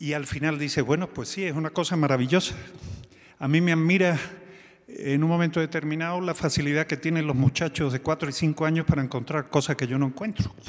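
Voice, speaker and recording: A man speaks at a fairly quick pace with fairly even intonation. His pitch sits fairly high. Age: 60s. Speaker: physician, telemedicine organization director. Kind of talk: conference talk. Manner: halting.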